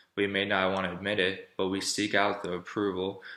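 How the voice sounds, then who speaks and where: Speaking at a fairly quick pace, a man has a fairly low pitch, a bright, sharp tone and monotone, flat intonation. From Florida. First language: German. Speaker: college student. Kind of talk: persuasive speech.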